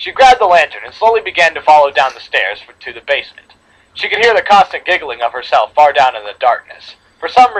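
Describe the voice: Simple reading out loud, the pitch moving in a lively way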